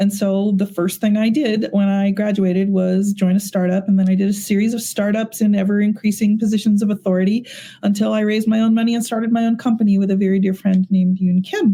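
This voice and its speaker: The speech runs at a very fast pace with hardly any pauses and very even loudness. The voice is somewhat breathy with a dark, mellow tone and a monotone, flat intonation. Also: woman, medium pitch for a woman. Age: 60s. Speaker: AI technology executive. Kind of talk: podcast interview.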